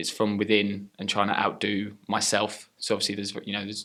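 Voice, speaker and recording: A fairly low-pitched male voice, captured in a very clean recording with a silent background. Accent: British. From England. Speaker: professional wrestler. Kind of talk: interview. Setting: wrestling training center.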